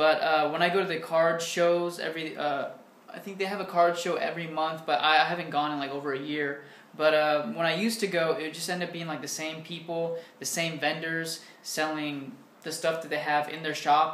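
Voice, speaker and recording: Room echo is audible as a man speaks at a fairly quick pace. His intonation is monotone and flat. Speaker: vlogger answering viewer questions. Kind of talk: casual vlog chat. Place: home room. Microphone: webcam.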